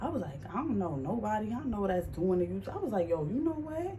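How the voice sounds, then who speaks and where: Audible room echo around a woman speaking at a moderate pace with an American accent. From New York, Harlem. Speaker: vlogger. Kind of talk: casual Q&A vlog. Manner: animated.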